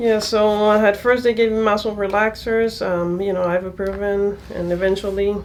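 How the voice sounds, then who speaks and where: Against noticeable background noise, a woman talks at a moderate pace with hardly any pauses, her medium-pitched voice monotone and flat. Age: 30s. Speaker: patient. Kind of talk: casual interview. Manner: halting, many fillers.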